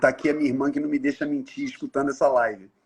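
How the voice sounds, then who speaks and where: A man's somewhat breathy, fairly high voice against a quiet background. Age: 60s. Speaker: NGO leader, live host. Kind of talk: casual interview chat.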